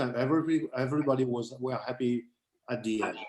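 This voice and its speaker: A man speaks with a French accent. His pace is very fast. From France. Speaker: condo owner asking a question. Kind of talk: question from the floor at a meeting. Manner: halting.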